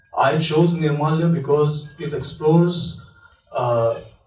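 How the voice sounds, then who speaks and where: Audible room echo colors the voice of a man speaking with a Marathi accent. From India, Maharashtra. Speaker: film director. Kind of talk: festival Q&A talk. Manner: halting, many fillers.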